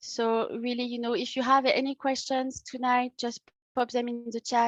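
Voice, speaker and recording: A woman speaks at a moderate pace in a high pitch with a French accent. The sound is dry and close, with no echo. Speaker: workshop host, tourism project officer. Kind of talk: online workshop presentation. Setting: video call. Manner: hesitant, many fillers.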